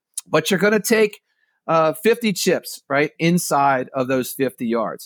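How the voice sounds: A man speaks with big pitch swings, the sound dry and close with no echo.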